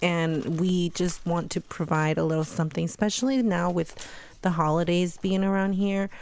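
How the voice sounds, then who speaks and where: This woman speaks at a moderate pace in a fairly low pitch, her intonation fairly even and her loudness very even. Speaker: podcast co-host. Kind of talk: casual chat.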